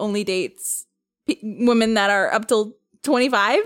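A woman's voice comes through on a very clean recording with a silent background. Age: 20s. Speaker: podcast host. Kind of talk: casual chat.

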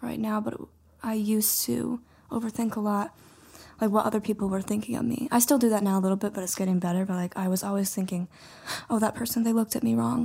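A woman with an American accent, fairly high-pitched and somewhat breathy, her dark, mellow tone delivered at a very fast pace with long, frequent pauses and fairly even intonation. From Montana. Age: 20s. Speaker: mailroom worker. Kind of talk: casual chat.

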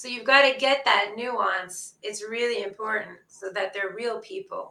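A woman talks at a moderate pace with a fairly high pitch. She has an ordinary speaking voice. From Ottawa, Canada. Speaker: author. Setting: bomb shelter, video call.

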